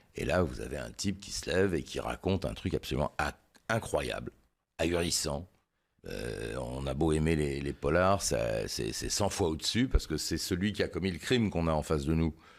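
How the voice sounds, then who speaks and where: In a very clean recording with a silent background, a man with a very deep, low voice and vocal fry talks at a moderate pace, his intonation lively and his loudness swinging widely. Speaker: crime journalist. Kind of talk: interview. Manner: hesitant, many fillers.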